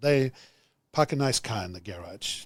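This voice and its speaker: Someone speaks with a German accent and ordinary pitch variation. The recording is very clean, the background silent. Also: man. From Germany. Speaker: business executive. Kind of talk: podcast interview.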